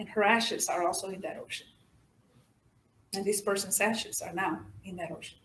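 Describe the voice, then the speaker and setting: Talking at a fairly quick pace with a Mexican accent, a woman leaves long, frequent pauses, her loudness swinging widely amid audible room echo. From Mexico / Rio Grande Valley, Texas. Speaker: poet. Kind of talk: audience Q&A. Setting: stage with audience.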